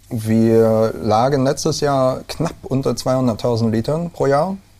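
At a very slow pace, a man speaks in a dark, mellow tone with ordinary pitch variation. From Rhineland, Germany (Neuwied, Westerwald, Koblenz area). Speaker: brewer. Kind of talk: casual interview. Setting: indoors, over beer. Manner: hesitant, many fillers.

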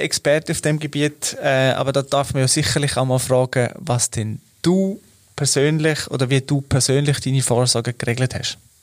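Speaking in a fairly high pitch, a man talks with a Swiss accent. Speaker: corporate podcast host. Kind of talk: interview.

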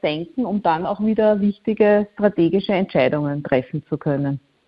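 In an unremarkable speaking voice, a woman talks at a medium pitch with lively intonation. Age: 40s. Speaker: communications consultant. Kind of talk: interview.

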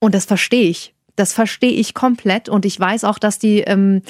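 On a very clean recording with a silent background and a dry, close sound with no echo, a woman speaks at a medium pitch with monotone, flat intonation. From Saxony-Anhalt. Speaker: podcast co-host. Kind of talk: casual chat.

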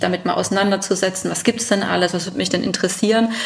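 A woman's medium-pitched voice sits against noticeable background noise. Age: 30s. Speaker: family business successor and business association official. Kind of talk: interview. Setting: on site at the family company.

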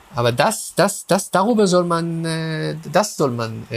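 Very wide pitch swings mark the fairly high voice of this man. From Israel, Haifa. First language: Hebrew (speaking German). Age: 40s. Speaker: philosopher of religion. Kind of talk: interview. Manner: halting, many fillers and repetitions.

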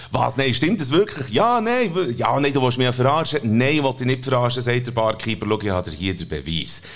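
Backed by music, a man with a Swiss accent and a medium pitch speaks at a fairly quick pace, his tone animated and intonation lively. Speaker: podcast co-host. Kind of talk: casual chat with joke telling.

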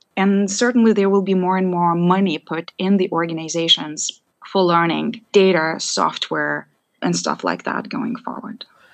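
A woman talks at a fairly slow pace in a normal speaking voice. Her pitch sits in the medium range. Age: young. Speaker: analytics and AI executive. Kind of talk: interview conversation.

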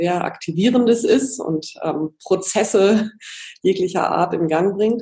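This woman has an unremarkable speaking voice with ordinary pitch variation. She talks at a fairly slow pace. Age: 40s. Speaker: magazine editor and coach. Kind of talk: interview.

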